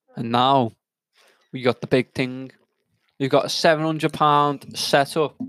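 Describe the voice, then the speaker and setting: With an English accent, a man with a fairly high pitch speaks in a monotone, flat way at a fairly slow pace, leaving long, frequent pauses, and the sound is dry and close with no echo. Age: 20s. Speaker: podcast co-host. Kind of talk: casual chat.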